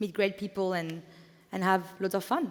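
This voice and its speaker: The woman's French accent comes through at a moderate pace. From France. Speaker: event co-founder. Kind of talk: conference welcome speech. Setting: stage with audience. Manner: halting, with fillers.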